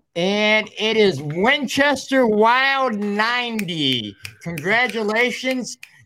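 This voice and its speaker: In an American accent, a raised, projected voice moves at a very slow pace with lively intonation. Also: man, high pitch for a man. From West Michigan. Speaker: podcast host. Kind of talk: casual chat.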